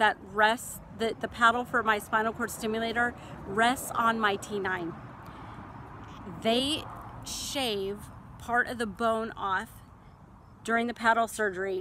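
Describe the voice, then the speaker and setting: A woman with an American accent and a fairly high pitch speaks at a fairly slow pace with fairly even intonation and long, frequent pauses, over noticeable background noise. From central California. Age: 40s. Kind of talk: casual talk to camera. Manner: hesitant.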